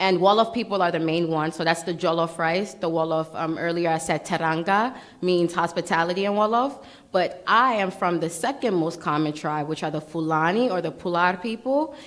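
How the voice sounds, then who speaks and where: Animated in tone, a woman with a fairly low pitch speaks at a fairly quick pace with ordinary pitch variation. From Brooklyn, New York. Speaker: pitch competition contestant. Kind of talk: Q&A after a pitch. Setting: stage with audience.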